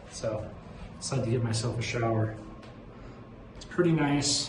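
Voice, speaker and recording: There is noticeable background noise and audible room echo. A man speaks at a medium pitch. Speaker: van life vlogger. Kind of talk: casual vlog narration. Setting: outdoors at dump station. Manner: loud.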